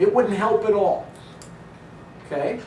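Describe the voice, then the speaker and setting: A man talks at a fairly quick pace, his pitch swinging very widely. Audible echo from the room surrounds his voice. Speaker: philosophy lecturer. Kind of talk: lecture.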